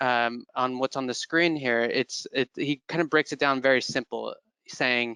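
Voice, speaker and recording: With an American accent and a bright, sharp tone, a man speaks at a moderate pace in a dry sound with no echo. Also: quiet background. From California. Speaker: employer brand manager; presenter. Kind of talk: webinar presentation. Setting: online webinar. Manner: hesitant, many fillers. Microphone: headset.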